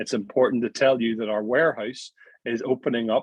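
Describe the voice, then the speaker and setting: A man with a Northern Irish accent talks at a fairly quick pace and a medium pitch. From Northern Ireland. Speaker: network marketing presenter. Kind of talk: sales pitch. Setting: video call. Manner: animated.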